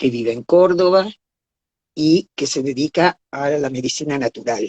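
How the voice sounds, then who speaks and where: Her very deep, low pitch carries ordinary pitch variation as this woman speaks. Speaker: live stream host. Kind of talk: live stream introduction.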